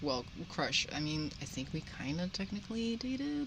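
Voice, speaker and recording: A woman speaks at a fairly slow pace with a Dutch accent and a bright, sharp tone. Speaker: podcast panelist. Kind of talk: casual chat. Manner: halting.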